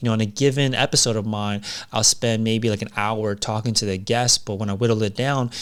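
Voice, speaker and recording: The speech runs at a fairly quick pace with fairly even intonation. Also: man, medium pitch for a man. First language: not English. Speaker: podcast coach. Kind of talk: casual talk to camera.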